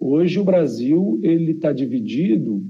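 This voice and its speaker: A man's pitch swings very widely as audible room echo rings around his words. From Rio Grande do Sul, southern Brazil. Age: 40s. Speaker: geographer and demographer, professor. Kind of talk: interview conversation.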